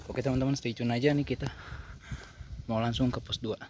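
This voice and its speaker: Speaking very rapidly, this man has a medium-pitched voice. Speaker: hiking vlogger. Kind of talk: vlog narration while hiking. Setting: outdoors on mountain trail.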